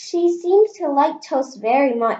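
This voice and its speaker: Using a put-on character voice, a woman speaks at a high pitch and a fairly slow pace with lively intonation. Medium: read story. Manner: gentle, eager.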